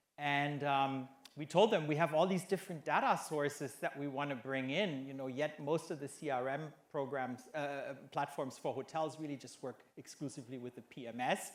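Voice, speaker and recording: A man with a German accent speaks at a fairly high pitch with fairly even intonation and hardly any pauses. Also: moderate pace. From Germany. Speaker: hotel executive. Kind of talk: conference panel discussion.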